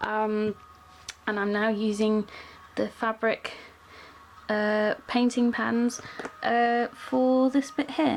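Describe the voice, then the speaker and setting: A woman talks with fairly even intonation while music plays in the background. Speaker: cosplayer. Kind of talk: casual talk to camera. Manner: drone-y, monotone after a while; hesitant, many fillers.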